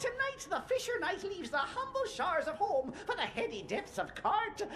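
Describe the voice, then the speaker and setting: An extremely high, put-on character voice speaks at a moderate pace. Clear background noise can be heard behind it. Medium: video game.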